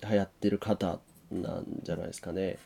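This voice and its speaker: This man has a dark, mellow tone and a fairly low pitch. He talks at a moderate pace. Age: 20s. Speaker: podcast co-host. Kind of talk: casual chat.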